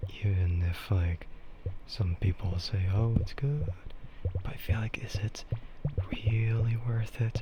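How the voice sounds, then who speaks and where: With music playing behind him, a man speaks in a relaxed tone at a very slow pace, his fairly low voice showing ordinary pitch variation and broken by long, frequent pauses. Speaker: streamer. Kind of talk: casual talk to camera. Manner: slow, relaxed, rambling.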